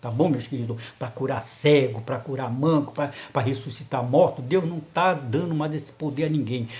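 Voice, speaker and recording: A man with a fairly high pitch and a somewhat breathy voice talks in an animated tone with ordinary pitch variation, with audible room echo. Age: 70s. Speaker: lay preacher. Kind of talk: sermon.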